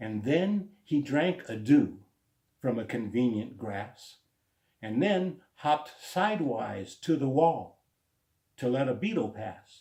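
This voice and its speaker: Very slowly, a man speaks in a dark, mellow, somewhat breathy tone at a medium pitch, his pitch swinging very widely. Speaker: spoken word poet. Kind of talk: poetry reading.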